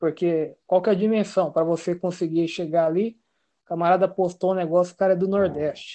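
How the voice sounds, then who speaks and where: Behind the voice, all is quiet. Words come at a fairly quick clip. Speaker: live stream participant. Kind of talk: live stream discussion. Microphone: too quiet.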